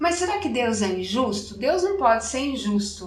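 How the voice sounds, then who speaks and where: A woman with a rural Brazilian accent talks at a moderate pace. Audible room echo and noticeable background noise are present. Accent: Brazilian countryside. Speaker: chromotherapy speaker and radio presenter. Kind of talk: interview conversation.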